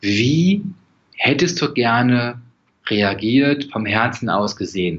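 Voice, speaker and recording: Speaking at medium pitch, a man uses lively intonation. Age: 40s. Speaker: stress and composure coach. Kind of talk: casual interview.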